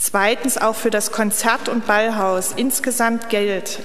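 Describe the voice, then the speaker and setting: With fairly even intonation, a woman's words come at a moderate pace. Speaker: council session chair. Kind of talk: formal announcement read aloud. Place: hall. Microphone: podium.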